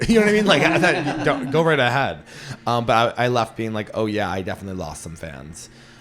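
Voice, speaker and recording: Delivered in an animated tone at a very fast pace, the speech shows very wide pitch swings and big shifts in loudness over noticeable background noise. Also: man, medium pitch for a man. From Western Massachusetts (Berkshires). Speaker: stand-up comedian and podcast host. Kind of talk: casual podcast chat.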